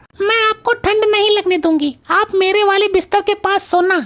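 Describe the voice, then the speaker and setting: A woman speaks in a cartoonish character voice at an extremely high pitch and a moderate pace. Her intonation is fairly even and her loudness very even. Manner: sassy, mocking.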